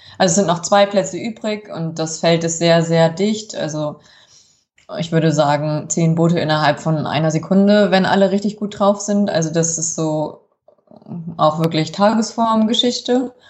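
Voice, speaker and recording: A woman talks at a moderate pace with a fairly low pitch and ordinary pitch variation. She has an ordinary speaking voice. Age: 30s. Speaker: rower and teacher. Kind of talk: interview.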